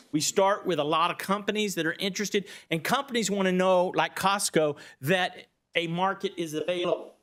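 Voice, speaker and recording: With a Texas accent, a man speaks with ordinary pitch variation. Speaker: economic developer. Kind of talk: presentation to county board. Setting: public meeting. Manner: fast.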